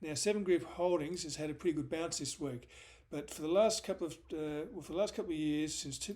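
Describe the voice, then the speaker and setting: This man speaks at a fairly quick pace in an Australian accent, his pitch fairly high with ordinary variation. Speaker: stock market analyst. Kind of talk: market analysis video. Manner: fast; hesitant, many fillers.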